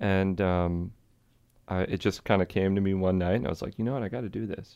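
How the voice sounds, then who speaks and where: Against a quiet background, a man with a very deep, low pitch and a dark, mellow tone talks at a very fast pace with fairly even intonation. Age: 30s. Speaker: jazz musician and festival organizer. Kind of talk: casual interview.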